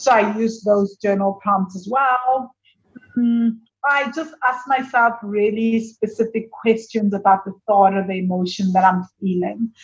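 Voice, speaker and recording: A somewhat breathy woman's voice, fairly high in pitch, with ordinary pitch variation and a fairly slow pace. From South Africa. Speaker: money coach and business owner. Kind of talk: interview.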